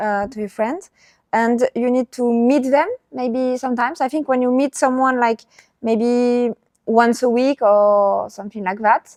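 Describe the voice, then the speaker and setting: With a French accent, a woman speaks at a high pitch and a fairly slow pace. Her intonation stays fairly even, and the sound is dry and close with no echo. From southern France. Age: 20s. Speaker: traveler. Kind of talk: casual chat. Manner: halting.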